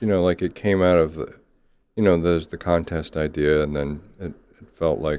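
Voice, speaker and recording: His voice very deep and low with a dark, mellow tone, a man speaks at a moderate pace with fairly even intonation. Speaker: playwright. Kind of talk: casual chat.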